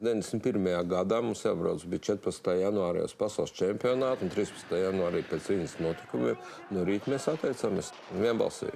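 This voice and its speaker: Over noticeable background noise, a man with a fairly low voice talks at a very fast pace with ordinary pitch variation. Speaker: former athlete. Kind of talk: documentary interview.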